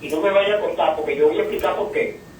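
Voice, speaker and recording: Noticeable background noise and audible room echo surround a man who keeps a moderate pace. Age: 70s. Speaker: caller. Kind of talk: radio call-in. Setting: phone call.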